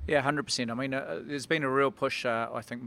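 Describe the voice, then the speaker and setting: A man in a New Zealand accent speaks with fairly even intonation. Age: 40s. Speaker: rugby referee and former player. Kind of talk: casual interview.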